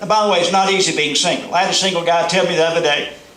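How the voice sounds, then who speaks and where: A man speaks with a Southern US accent. There's audible room echo and noticeable background noise. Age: middle-aged. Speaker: motivational speaker. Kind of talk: stand-up. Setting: stage with audience.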